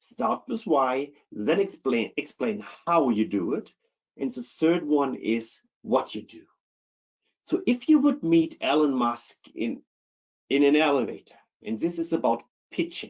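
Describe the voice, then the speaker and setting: Long, frequent pauses, a fairly slow pace and very wide pitch swings, with a German accent. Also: man, fairly high pitch for a man. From Germany. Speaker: keynote speaker on internal audit. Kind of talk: webinar presentation.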